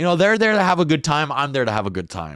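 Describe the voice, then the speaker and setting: The recording is very clean, and the background is silent. A man's pitch swings very widely as he speaks. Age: 20s. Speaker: stand-up comedian and podcast host. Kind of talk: casual monologue. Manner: casual, profane, rambling delivery.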